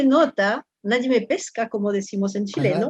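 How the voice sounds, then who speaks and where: A woman is speaking. She has a French accent. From France. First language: French (speaking Spanish). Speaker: professor. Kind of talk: interview. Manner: halting.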